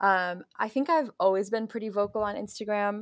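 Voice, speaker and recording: A woman at a moderate pace, on a very clean recording with a silent background. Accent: American. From US Midwest, Chicago suburbs. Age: 20s. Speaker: activist. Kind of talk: interview. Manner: calm, soothing.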